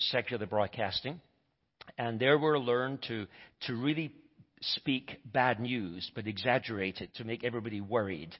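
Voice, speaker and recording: A man speaks at a moderate pace in a medium pitch. His intonation is lively. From Scotland. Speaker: visiting preacher. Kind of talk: sermon. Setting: church.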